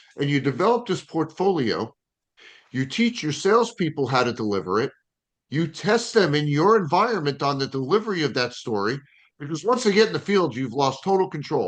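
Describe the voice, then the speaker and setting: A man's fairly high voice with very wide pitch swings, fairly quick pace, and a quiet background. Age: 50s. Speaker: sales strategist and author. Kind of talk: interview. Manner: animated.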